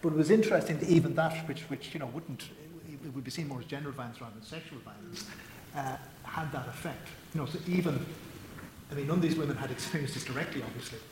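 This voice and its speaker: Over noticeable background noise, a man with an Irish accent talks at a very fast pace in a fairly high voice with ordinary pitch variation. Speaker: magazine editor and moderator. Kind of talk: panel discussion. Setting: stage with audience.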